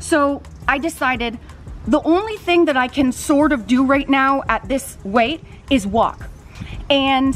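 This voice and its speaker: Faint music plays in the background as a woman talks at a fairly slow pace in a high pitch with ordinary pitch variation. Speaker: fitness vlogger. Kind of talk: casual vlog chat. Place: garden. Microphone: phone near.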